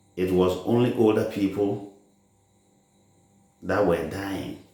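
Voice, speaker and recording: Audible room echo surrounds a man whose pitch is fairly low and whose tone is dark and mellow. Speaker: religious teacher. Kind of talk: sermon. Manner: slow.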